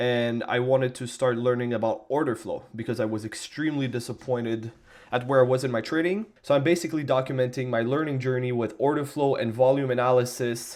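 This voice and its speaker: Pitched at a medium level, a normal speaking voice comes from a man whose intonation stays fairly even. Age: 20s. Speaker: day trader. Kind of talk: screen-recorded trading journal tutorial. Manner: casual, informal.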